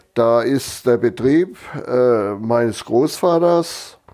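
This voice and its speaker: A man's medium-pitched, dark, mellow voice with lively intonation at a very slow pace. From northern Germany (Lower Saxony). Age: 70s. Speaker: retired farmer. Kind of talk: life story interview. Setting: at his home.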